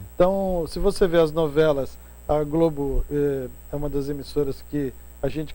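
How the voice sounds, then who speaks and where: Against audible room echo, a man with a fairly high pitch and a dark, mellow tone talks at a moderate pace. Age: 60s. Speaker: professor and journalist. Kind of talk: casual interview chat.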